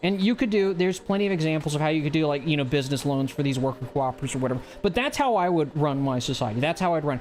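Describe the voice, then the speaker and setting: Over music in the background, a man with an American accent talks at a very fast pace with hardly any pauses, his fairly high pitch carrying ordinary pitch variation, very even loudness and an animated tone. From US South. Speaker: livestream host. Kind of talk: casual political commentary livestream.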